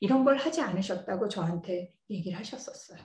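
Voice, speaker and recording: A woman's somewhat breathy voice moves with lively intonation amid audible room echo. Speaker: computer science professor. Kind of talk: lecture.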